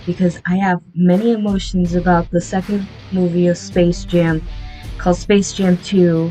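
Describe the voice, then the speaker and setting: Over music in the background, a woman speaks fairly slowly at a fairly low pitch. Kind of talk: casual movie review to camera. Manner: off-script, frequent stuttering.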